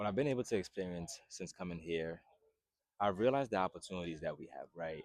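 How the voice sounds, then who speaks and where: A man speaks here. His voice is very deep and low, with ordinary pitch variation. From Haiti, moved to US at nine. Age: 20s. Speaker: fitness YouTuber and personal trainer. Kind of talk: casual vlog introduction. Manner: casual, filler-heavy.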